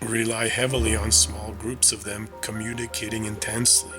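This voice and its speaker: A man is speaking. Music plays in the background. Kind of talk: sleep-aid talk, calm informational narration to help listeners fall asleep. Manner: calm, soothing, slow.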